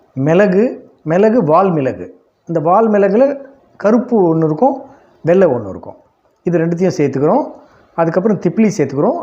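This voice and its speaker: Pitch swings very widely in this man's high voice. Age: 60s. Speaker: yoga teacher. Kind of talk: tutorial. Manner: casual, repetitive.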